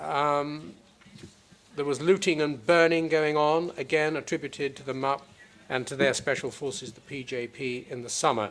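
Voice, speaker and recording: This man has an unremarkable speaking voice, pitched fairly high, moving at a moderate pace with fairly even intonation and big swings in loudness. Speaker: prosecutor. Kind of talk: courtroom opening statement. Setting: courtroom. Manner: formal.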